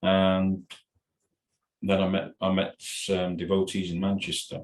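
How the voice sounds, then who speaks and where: Very deep and low, a man's voice moves at a fairly slow pace in a flat monotone. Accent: North Welsh. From North Wales, Ruthin. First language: Welsh. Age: 60s. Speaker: podcast guest, religious devotee. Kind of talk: casual interview chat. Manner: halting, repetitive.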